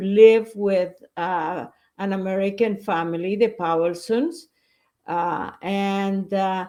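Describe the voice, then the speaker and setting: Spoken at a fairly slow pace with a Spanish accent. The pitch varies in an ordinary way. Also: woman. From Bolivia. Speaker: educator. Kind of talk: interview.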